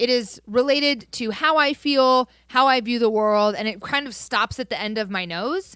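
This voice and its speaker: A loud woman's voice, high-pitched with a bright, sharp tone, ordinary pitch variation and hardly any pauses. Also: moderate pace, very clean recording, silent background. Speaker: podcast co-host. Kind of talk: casual chat.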